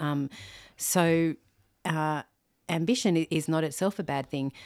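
On a very clean recording with a silent background, a woman with an Australian accent speaks at a moderate pace in a very deep, low pitch with ordinary pitch variation. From Australia, Sydney. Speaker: theologian and author on singleness. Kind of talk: podcast interview. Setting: in person, host's home. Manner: frequent fillers.

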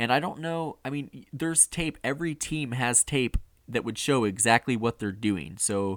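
A man talks at a fairly quick pace in a plain, everyday voice. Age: 20s. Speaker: motorsport podcast host. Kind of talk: casual chat. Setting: remote call.

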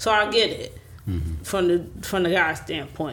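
Vocal fry runs through a woman's fairly low-pitched voice. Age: 30s. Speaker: sister of the deceased. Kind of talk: casual chat.

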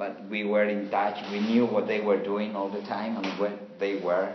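Against noticeable background noise and audible room echo, a man with a Spanish accent speaks fairly slowly at a fairly low pitch, his intonation flat and monotone. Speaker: interpreter. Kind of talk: interpreted interview. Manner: halting.

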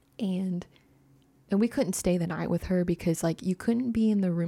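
A woman with an American accent speaks at a fairly quick pace in a medium pitch, her dark, mellow tone showing ordinary pitch variation, recorded with a dry, close sound with no echo in a very clean recording with a silent background. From US South, Arkansas. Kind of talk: casual chat. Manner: hesitant, many fillers.

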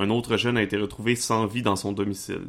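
The recording is very clean with a silent background, and the man talks at a medium pitch. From Quebec, Charlevoix. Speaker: game master. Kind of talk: tabletop roleplaying game narration.

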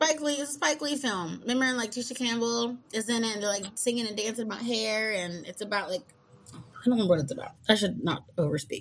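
A somewhat breathy woman's voice, fairly high in pitch, with lively intonation. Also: fairly quick pace. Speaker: podcast host. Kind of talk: casual chat.

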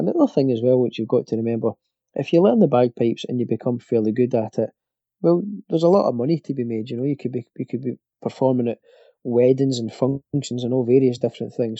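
This man speaks at a very fast pace in a medium pitch. His pitch variation is ordinary. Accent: Glasgow. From Scotland. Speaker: bagpipe player and instructor. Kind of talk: interview. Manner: halting, many fillers and repetitions.

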